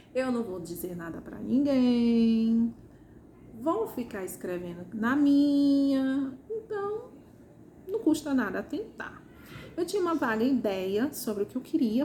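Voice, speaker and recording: A woman speaks at a very slow pace in a Ceará accent, her pitch high and her tone dark and mellow. Her pitch swings very widely. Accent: Ceará, northeastern Brazilian. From Ceará, Brazil. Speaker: first-time novelist. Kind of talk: casual talk to camera.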